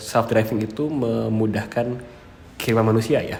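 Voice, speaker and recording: A man talks at a moderate pace with a medium pitch. Audible room echo and noticeable background noise fill the recording. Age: 20s. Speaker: electrical engineering lecturer. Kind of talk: interview. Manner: hesitant with many fillers.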